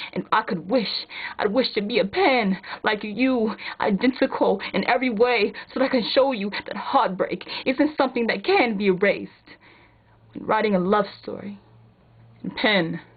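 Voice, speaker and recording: A woman with a fairly high voice talks at a moderate pace, using ordinary pitch variation. Her speech has long, frequent pauses, and background noise is noticeable. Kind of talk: spoken word poetry reading.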